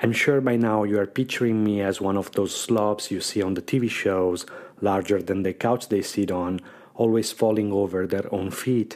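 Speaking at a moderate pace with a non-native accent, a man keeps a fairly even intonation at a fairly low pitch. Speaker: podcast host. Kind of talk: personal storytelling.

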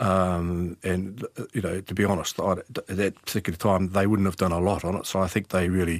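Speaking with a New Zealand accent, a man uses a very deep, low pitch and flat, monotone intonation at a fairly quick pace. The recording is very clean with a silent background. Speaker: retired detective. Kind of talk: interview. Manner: halting.

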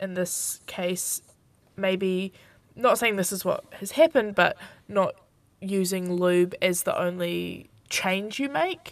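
Slowly and with ordinary pitch variation, a woman with a New Zealand accent speaks at a medium pitch in a very clean recording with a silent background. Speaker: aspiring sex educator. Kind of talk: live radio advice show. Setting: studio.

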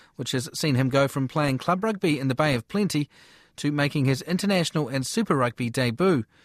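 Here a man speaks with a New Zealand accent at a fairly quick pace. His fairly high pitch shows ordinary pitch variation, and the sound is dry and close with no echo. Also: very clean recording, silent background. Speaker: sports radio presenter. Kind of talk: news presenting and interview.

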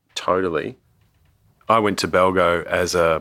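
Bright, sharp tone from a man with an Australian accent, on a very clean recording with a silent background. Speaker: museum anthropologist and author. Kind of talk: casual chat.

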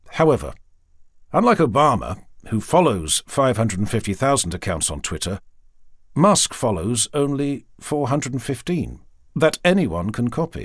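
A man speaks at a medium pitch and a moderate pace, with very wide pitch swings and vocal fry. The recording is very clean, with a silent background. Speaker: audiobook narrator. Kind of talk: reading aloud.

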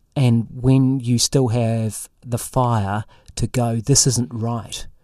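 A dark, mellow tone with a New Zealand accent. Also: man, dry, close sound with no echo, very clean recording, silent background. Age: 50s. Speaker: investigative journalist. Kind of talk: interview conversation. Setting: studio.

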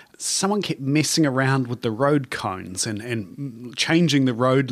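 A man with a New Zealand accent, medium pitch and ordinary pitch variation. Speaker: conservation biologist. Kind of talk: casual chat. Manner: hesitant, many fillers.

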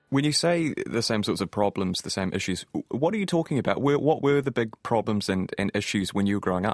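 A man with a New Zealand accent speaks at medium pitch and a fairly quick pace, with hardly any pauses and lively intonation. The sound is dry and close, with no echo. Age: 20s. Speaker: podcast host. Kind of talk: interview; scripted outro.

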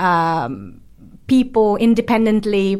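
In a very clean recording with a silent background, a woman talks with an Italian accent. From Brescia, northern Italy. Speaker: art historian. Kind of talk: panel discussion.

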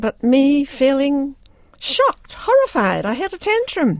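A woman speaks very slowly in a New Zealand accent, her high voice making very wide pitch swings. The sound is dry and close, with no echo. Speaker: writer and playwright. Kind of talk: radio interview.

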